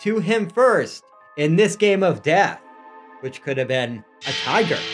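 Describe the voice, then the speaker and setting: With faint music in the background, a man speaks at a very slow pace. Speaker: podcast host. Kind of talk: comedic spooky storytelling. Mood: playful mock-horror comedy. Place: home room. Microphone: studio mic.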